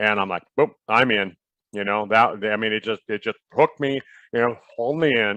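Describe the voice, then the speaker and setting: At a moderate pace, a man with fairly low pitch speaks with fairly even intonation. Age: 60s. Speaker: doctor and product distributor. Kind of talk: casual chat. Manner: halting.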